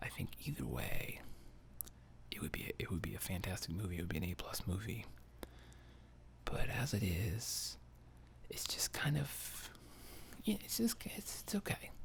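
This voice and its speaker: Whispering in a relaxed tone at a moderate pace, the speaker leaves long, frequent pauses. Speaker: ASMR channel host and movie reviewer. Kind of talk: soft-spoken ASMR movie review, casual talk to camera. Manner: soft-spoken, relaxed, conversational.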